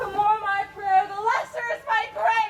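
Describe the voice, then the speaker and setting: A woman uses a put-on, squeaky character voice at an extremely high pitch. She delivers it at a fairly slow pace. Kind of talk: archaic theatrical verse.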